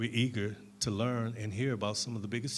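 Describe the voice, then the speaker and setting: With audible room echo, a man with an American accent speaks at a fairly quick pace in a fairly low pitch and a monotone, flat intonation. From Detroit. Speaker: panel moderator, community organizer. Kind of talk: moderated panel discussion. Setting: stage with audience, handheld mic. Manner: not loud.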